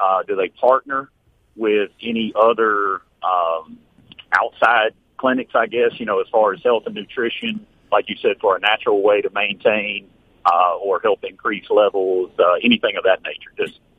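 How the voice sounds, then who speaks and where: Speaking with a Southern US accent, a man keeps to a moderate pace. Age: 70s. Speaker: radio caller. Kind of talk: phone-in testimony. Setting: phone call. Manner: animated.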